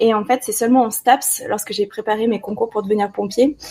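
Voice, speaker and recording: This woman's voice sits fairly high in pitch. She keeps a moderate pace and fairly even intonation. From France, Ardèche. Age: 30s. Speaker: wedding and underwater photographer. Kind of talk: interview.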